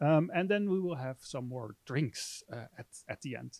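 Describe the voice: A man with vocal fry at a fairly slow pace. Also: dry, close sound with no echo.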